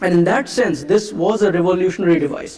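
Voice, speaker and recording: With an Indian accent, a man speaks in a high voice over noticeable background noise. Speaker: conference speaker, marketing executive. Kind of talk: conference keynote talk. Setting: stage with audience. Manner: hesitant, many fillers.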